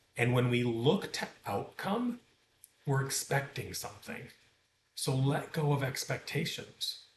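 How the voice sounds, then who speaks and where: Somewhat breathy, the voice moves at a fairly slow pace with lively intonation. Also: man, fairly high pitch for a man. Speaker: meditation teacher. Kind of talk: tutorial.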